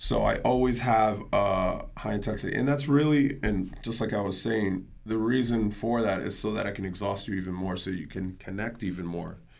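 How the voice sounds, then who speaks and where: Speaking at a moderate pace with hardly any pauses, a man has a fairly low pitch and ordinary pitch variation, with audible room echo around him. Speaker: fitness instructor. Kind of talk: casual chat. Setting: live stream. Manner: loud.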